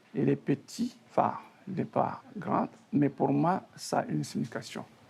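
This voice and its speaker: Very slow pace from a man, amid noticeable background noise. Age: 60s. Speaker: retired teacher. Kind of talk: testimony.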